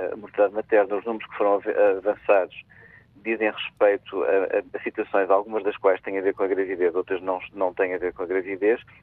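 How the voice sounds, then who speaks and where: This is a man with a normal speaking voice and a fairly low pitch. He talks at a fairly quick pace with fairly even intonation. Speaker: health official, doctor. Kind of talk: radio interview.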